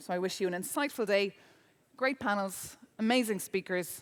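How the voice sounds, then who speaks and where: With an Irish accent, a woman talks at a fairly quick pace, her medium pitch carried by lively intonation. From Ireland. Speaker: journalist and debate moderator. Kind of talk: event moderation. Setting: conference stage with audience.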